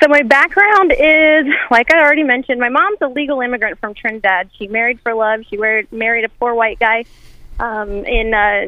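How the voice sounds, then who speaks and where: This woman has an ordinary speaking voice with a fairly high pitch. Her pitch varies in an ordinary way. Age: 30s. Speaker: congressional candidate. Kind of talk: radio interview. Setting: phone call.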